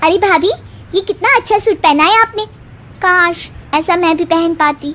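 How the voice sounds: A cartoonish character voice talks at a moderate pace with ordinary pitch variation. Clear background noise runs underneath. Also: woman, extremely high pitch for a woman.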